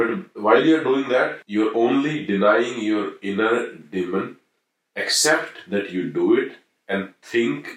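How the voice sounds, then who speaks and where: A man with lively intonation speaks in a plain, everyday voice. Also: medium pitch for a man. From Haryana, India. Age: 40s. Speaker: podcast guest. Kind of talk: casual discussion.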